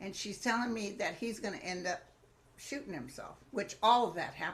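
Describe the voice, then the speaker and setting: A woman's medium-pitched, somewhat breathy voice, lively in intonation and fairly quick in pace. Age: 70s. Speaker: psychic medium. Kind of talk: casual chat.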